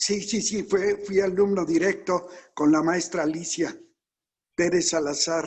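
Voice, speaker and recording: This man's voice is high-pitched, with a fairly slow pace and fairly even intonation. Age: 80s+. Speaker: oratory teacher, workshop participant. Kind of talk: casual chat.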